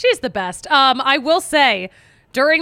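In an American accent, a woman speaks fairly slowly in a raised, projected voice with a high pitch. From Philadelphia. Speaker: sports podcast host. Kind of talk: casual chat. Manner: animated.

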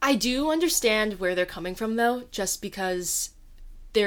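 On a very clean recording with a silent background, a woman speaks at a fairly slow pace with ordinary pitch variation. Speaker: podcast co-host, college student. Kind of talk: casual chat.

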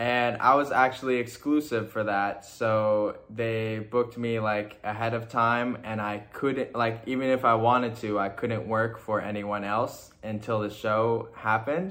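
A normal speaking voice with an American accent moves at a fairly slow pace. It has fairly even intonation and hardly any pauses. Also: man, medium pitch for a man. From Toronto, Canada, then Indiana from age 14. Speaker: fashion model. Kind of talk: casual chat.

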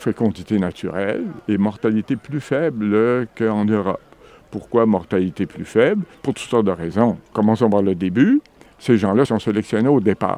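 Dry and close with no echo, a man's voice sits at a fairly low pitch with a dark, mellow tone. His pitch varies in an ordinary way. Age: old. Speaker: retired demography professor. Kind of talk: interview.

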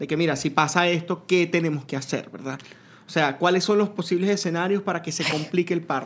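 A man speaks with a Lara Venezuelan accent at a fairly quick pace. His pitch is high and his tone animated. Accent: Venezuelan Spanish (Lara, guaro). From Venezuela, Lara state (Duaca). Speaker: podcast guest. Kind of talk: casual chat.

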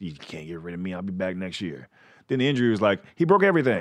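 A man speaks with an American accent and very wide pitch swings. The background is quiet. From Texas, Fort Worth. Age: 30s. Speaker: comedian. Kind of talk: casual chat.

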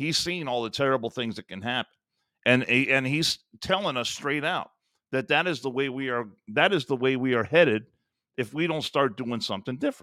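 Very clean recording with a silent background, a man with an American accent, medium pitch and ordinary pitch variation, bright, sharp tone, fairly quick pace. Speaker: radio host. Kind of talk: casual chat. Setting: studio.

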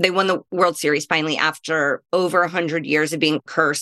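A woman with an American accent speaks at a moderate pace in an ordinary speaking voice. The sound is dry and close with no echo, and her pitch varies in an ordinary way. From US Midwest. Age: 30s. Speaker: comedian. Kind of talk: casual chat.

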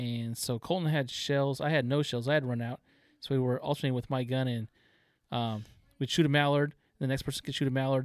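An unremarkable speaking voice with an American accent comes through on a very clean recording with a silent background. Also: man, medium pitch for a man, fairly even intonation, fairly quick pace. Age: 40s. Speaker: taxidermist, duck hunter. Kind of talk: casual chat.

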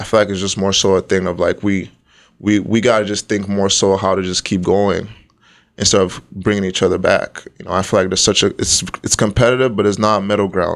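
A man talks at a fairly quick pace and a fairly low pitch, his intonation monotone and flat. The recording is very clean, with a silent background. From Nigeria, moved to Toronto around 2010. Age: 20s. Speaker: YouTuber and content creator. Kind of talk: casual interview.

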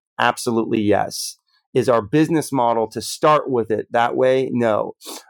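A man's unremarkable speaking voice at medium pitch, moderate in pace with fairly even intonation. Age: 30s. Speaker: health tech CEO. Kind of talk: interview. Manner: frequent filler words.

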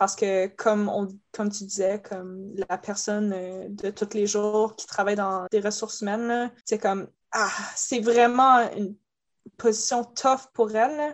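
Speaking very slowly, a woman with medium pitch keeps her intonation fairly even. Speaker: cosplayer. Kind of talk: casual chat.

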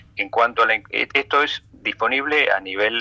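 The recording of this man is dry and close with no echo, though noticeable background noise comes through. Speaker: infectious disease doctor. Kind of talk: radio interview.

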